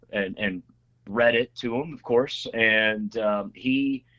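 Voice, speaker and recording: With an unremarkable speaking voice, a man talks at a medium pitch with ordinary pitch variation. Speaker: state legislator. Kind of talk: casual interview chat. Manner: filler-heavy, repetitive.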